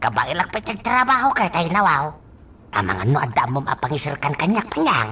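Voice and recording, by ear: Putting on a character voice, a woman uses a low pitch, a bright, sharp tone and big pitch swings at a moderate pace.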